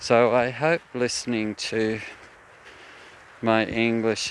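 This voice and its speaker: A man speaks at a very slow pace. Noticeable background noise runs under his voice. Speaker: walking vlogger. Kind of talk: casual monologue. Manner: clear enunciation.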